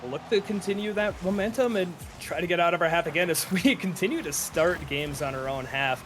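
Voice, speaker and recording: A man with a northern Minnesota accent, high-pitched and quick-paced with lively intonation, against noticeable background noise. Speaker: esports caster. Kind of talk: live commentary. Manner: fast.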